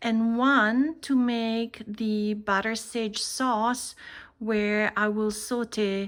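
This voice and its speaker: A woman talks in a relaxed tone with a fairly high pitch. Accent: Italian. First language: Italian. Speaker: cooking channel host. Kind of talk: cooking tutorial. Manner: relaxed, conversational.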